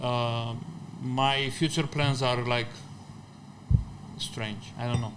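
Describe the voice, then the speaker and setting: Very slowly and with long, frequent pauses, a man speaks in a monotone, flat intonation amid audible room echo. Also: medium pitch for a man. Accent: Romanian. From Romania. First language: Romanian. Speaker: deli owner and chef. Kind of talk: casual chat. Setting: in a deli.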